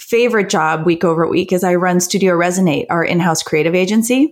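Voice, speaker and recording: This woman has an ordinary speaking voice with a medium pitch. She talks at a moderate pace with lively intonation. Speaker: advertising executive. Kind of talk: interview answers about business.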